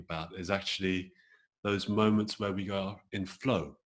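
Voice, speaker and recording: A man with a British accent speaks at a moderate pace in a fairly low pitch. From England, London. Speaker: acupuncturist and creativity coach. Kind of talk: interview.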